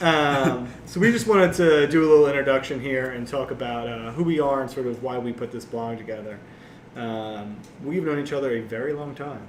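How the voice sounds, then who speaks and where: A man's medium-pitched voice at a fairly quick pace, with ordinary pitch variation, big swings in loudness and noticeable background noise. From small town US. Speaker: podcast co-host. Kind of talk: casual chat.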